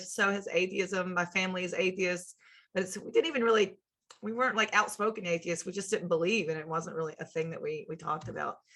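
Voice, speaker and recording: A woman speaks at a very fast pace in a bright, sharp tone. Her pitch varies in an ordinary way. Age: 30s. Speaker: sociology lecturer. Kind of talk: lecture. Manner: halting, with fillers and repeated words.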